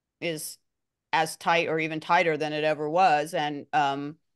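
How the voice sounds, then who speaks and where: Against a quiet background, a woman talks in a plain, everyday voice at a moderate pace with a fairly low pitch. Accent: American. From Los Angeles. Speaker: music journalist. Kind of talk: interview.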